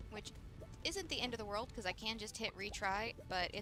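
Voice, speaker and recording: A woman with a Southern US accent talks at a fairly quick pace in a fairly high voice. Music plays in the background. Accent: Southern US twang. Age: 20s. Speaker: gaming streamer. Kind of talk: casual gameplay commentary.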